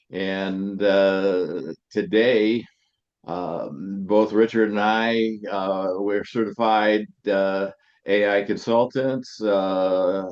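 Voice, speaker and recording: Very slowly and at a fairly low pitch, a man talks against a quiet background. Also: fairly even intonation. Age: 70s. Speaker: podcast co-host, entrepreneur. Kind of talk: casual chat. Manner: halting, many fillers.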